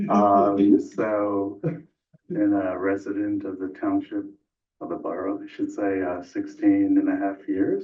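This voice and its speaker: A soft-spoken man with an American accent talks at a fairly slow pace. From New York. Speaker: scientist and board applicant. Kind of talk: interview. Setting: council meeting room.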